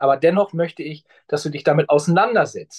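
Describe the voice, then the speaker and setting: A man speaks in a normal speaking voice, fairly high in pitch, at a moderate pace with lively intonation. The sound is dry and close, with no echo. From northern Germany. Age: 50s. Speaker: pension insurance specialist. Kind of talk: interview conversation.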